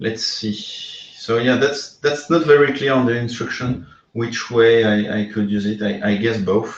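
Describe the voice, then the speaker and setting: Speaking at a fairly slow pace, a man carries a slight non-native accent. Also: medium pitch for a man. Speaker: VR game developer. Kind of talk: live stream hardware assembly. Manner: halting, many fillers; animated.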